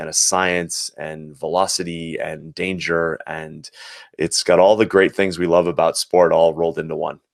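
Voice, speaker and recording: With an American accent, a man speaks in a very deep, low pitch and monotone, flat intonation, captured with a dry, close sound with no echo. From Boston, Massachusetts, US. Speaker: former Olympic luger, business person. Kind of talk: interview. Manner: hesitant, many fillers.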